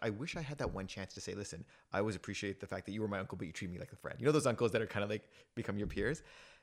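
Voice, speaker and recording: A man's medium-pitched voice in a Canadian accent, at a very fast pace with ordinary pitch variation, in a very clean recording with a silent background. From Toronto, Canada. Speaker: youth trainer and program lead. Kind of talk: casual interview chat.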